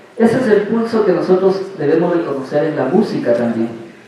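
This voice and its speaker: Amid noticeable background noise and audible room echo, a man talks fairly slowly at a high pitch. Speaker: dance teacher. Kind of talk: lecture. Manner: soft-spoken.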